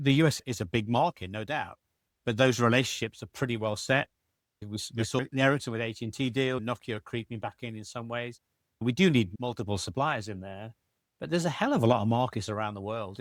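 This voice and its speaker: Speaking at a very fast pace with a British accent and ordinary pitch variation, a man is captured in a very clean recording with a silent background and a dry, close sound with no echo. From Britain. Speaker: telecoms industry analyst. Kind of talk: panel discussion.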